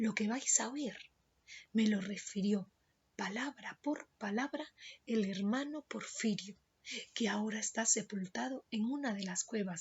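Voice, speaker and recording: Soft-spoken and somewhat breathy, the voice moves at a very slow pace. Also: woman. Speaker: Spanish teacher. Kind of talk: literary story reading.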